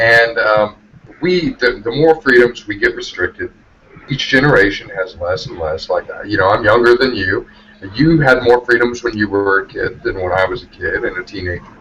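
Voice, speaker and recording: A man delivers his words at a moderate speed while noticeable background noise carries on. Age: 20s. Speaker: live show panelist. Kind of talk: casual chat. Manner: halting.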